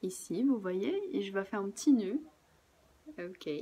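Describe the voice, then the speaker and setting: A woman's voice, medium in pitch with a dark, mellow tone, sounds relaxed, with vocal fry and very wide pitch swings. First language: Portuguese (speaking French). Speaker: craft workshop presenter. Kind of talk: tutorial. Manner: casual, relaxed.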